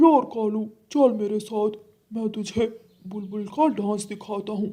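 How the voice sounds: A cartoonish character voice comes through at a fairly high pitch. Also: moderate pace.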